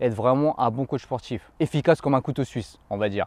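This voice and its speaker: A man's dark, mellow tone in a dry, close sound with no echo, over a quiet background. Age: 30s. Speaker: fitness coach and youtuber. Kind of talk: casual Q&A monologue to camera.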